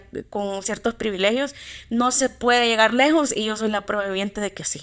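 A moderate pace in a Salvadoran accent, with fairly even intonation. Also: woman. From El Salvador, Santa Ana. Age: 20s. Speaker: literature enthusiast. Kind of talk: casual interview chat.

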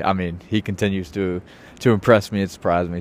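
A man's plain, everyday voice, fairly low in pitch, with an American accent and fairly even intonation. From Richmond, Virginia. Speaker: podcast host and former college basketball player. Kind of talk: casual solo podcast monologue. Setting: outdoors on a rooftop. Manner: casual with many filler words.

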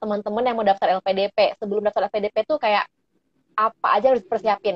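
Talking at a very fast pace, a woman uses a fairly high voice. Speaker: podcast host. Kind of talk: casual interview.

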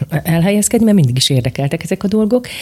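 At a very fast pace, a woman speaks somewhat breathily, her dark, mellow tone moving in very wide pitch swings. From eastern Slovakia (Bodrogköz). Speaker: teacher and robotics coach. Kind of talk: interview.

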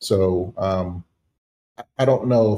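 A man with an American accent speaks in a fairly low, somewhat breathy voice with a dark, mellow tone and fairly even intonation, in a very clean recording with a silent background. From US Northeast, Philadelphia. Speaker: tech company founder and former CEO. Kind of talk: podcast interview.

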